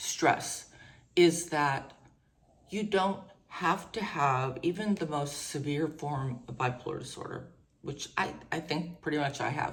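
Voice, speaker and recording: A woman's very deep, low pitch, somewhat breathy. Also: ordinary pitch variation. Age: 60s. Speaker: mental health vlogger. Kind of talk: personal testimony. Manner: halting.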